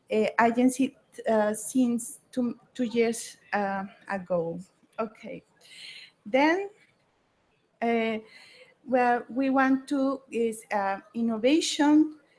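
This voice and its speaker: A fairly high-pitched woman with a Mexican accent, very slow pace, long, frequent pauses and ordinary pitch variation. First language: Spanish. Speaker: state government official. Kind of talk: conference presentation. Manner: halting.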